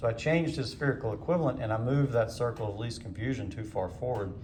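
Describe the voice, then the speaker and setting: Audible room echo surrounds the voice. A man of medium pitch speaks with lively intonation. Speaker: ophthalmology teacher. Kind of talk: lecture demonstration.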